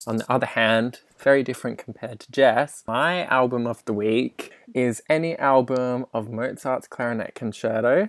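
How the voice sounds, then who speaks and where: A man of medium pitch speaks with an Australian accent at a moderate pace, with fairly even intonation and hardly any pauses. The sound is dry and close with no echo, and his loudness swings widely. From Western Australia, Perth. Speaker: podcast co-host, music student. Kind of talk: casual chat.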